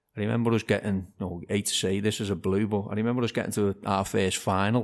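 A fairly low-pitched man with a Liverpool accent at a fairly quick pace, with ordinary pitch variation, in a very clean recording over a silent background. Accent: Scouse (Liverpool). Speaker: amateur football manager. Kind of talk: casual interview chat.

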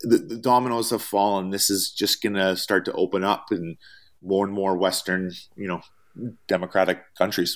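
With a Canadian accent, a man with a fairly low pitch speaks at a moderate pace in an unremarkable speaking voice with fairly even intonation. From Canada. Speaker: traveling chef. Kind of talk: interview.

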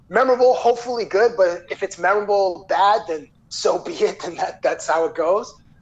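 Hardly pausing at all, a man talks at a moderate pace with a high pitch and lively intonation. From Toronto, Canada. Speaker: sports TV interviewer. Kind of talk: casual interview chat.

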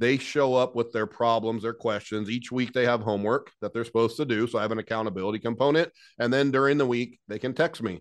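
Against a quiet background, a man with an American accent and a medium-pitched voice speaks very fast and energetically, with hardly any pauses. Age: 40s. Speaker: HVAC business owner and business coach. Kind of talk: interview.

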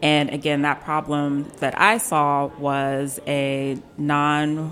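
A very deep, low female voice with an American accent against noticeable background noise. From Silver Spring, Maryland, US. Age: 30s. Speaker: food event organizer. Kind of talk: casual chat. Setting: studio.

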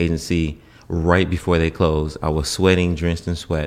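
With an American accent, a man talks in a very deep, low pitch and fairly even intonation. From US South, Norfolk, Virginia. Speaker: singer and dancer. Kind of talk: casual chat.

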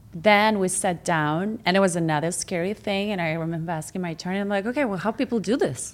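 A woman with a Russian accent speaks at a very fast pace with hardly any pauses, her medium pitch showing ordinary variation, on a very clean recording with a silent background. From Russia, Moscow. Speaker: former model, real estate agent. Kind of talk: casual interview.

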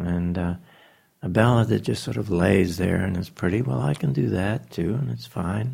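A man speaks with a dark, mellow tone at a very deep, low pitch. His pitch swings very widely, and vocal fry is present. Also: moderate pace. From New Zealand. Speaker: jazz pianist and arranger. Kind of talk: interview conversation. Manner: halting, with many fillers.

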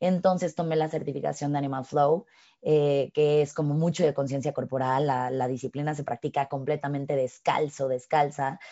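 A woman with a Mexican accent speaks at a moderate pace with a very deep, low pitch and fairly even intonation. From Mexico. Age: 30s. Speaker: fitness instructor. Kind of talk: casual chat.

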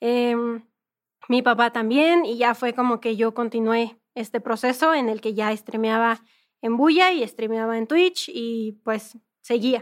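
A woman with a fairly high voice speaks at a fairly slow pace with ordinary pitch variation, a normal speaking voice. Her recording is very clean, with a silent background. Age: 20s. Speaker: gamer and content creator. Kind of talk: interview.

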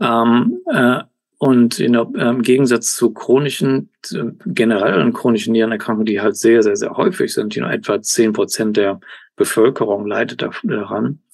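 The man's voice, medium in pitch, varies in an ordinary way and keeps a moderate pace. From Germany, Cologne. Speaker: professor and kidney researcher. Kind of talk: interview. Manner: halting, many fillers and English words.

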